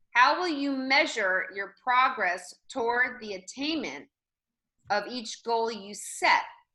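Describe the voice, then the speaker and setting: Very slow, high-pitched female speech with lively intonation, big swings in loudness, a bright, sharp tone and a quiet background. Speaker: real estate trainer. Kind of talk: online training session. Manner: animated.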